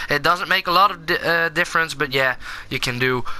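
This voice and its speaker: The speaker has a Dutch accent. There is noticeable background noise. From Netherlands. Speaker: gaming YouTuber. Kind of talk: gameplay commentary. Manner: halting, many fillers.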